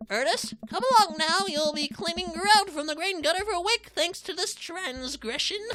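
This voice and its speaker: A woman puts on a character voice at an extremely high pitch. Her intonation is lively. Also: moderate pace. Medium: solo performance. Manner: laconic, deadpan.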